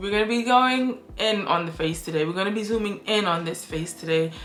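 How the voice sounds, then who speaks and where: Ordinary pitch variation comes through audible room echo and noticeable background noise. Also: woman. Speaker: beauty vlogger. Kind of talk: casual chat. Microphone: poor audio, mic was not on.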